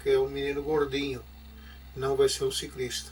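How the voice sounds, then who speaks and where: A man at a moderate pace over music in the background. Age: 60s. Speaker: former cyclist. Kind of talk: personal life story. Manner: halting, with repetitions and fillers.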